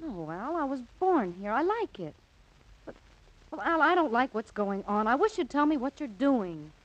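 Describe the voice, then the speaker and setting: Putting on a whiny character voice, a woman speaks at a high pitch and a moderate pace with very wide pitch swings. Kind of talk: 1940s radio acting. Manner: pleading, whiny.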